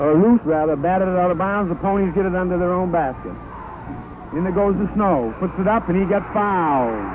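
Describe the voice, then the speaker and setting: A man talks at a fairly quick pace with a high pitch for a man. Noticeable background noise runs under his voice. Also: ordinary pitch variation. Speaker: radio sports announcer. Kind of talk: live radio play-by-play sports commentary. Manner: fast, excited.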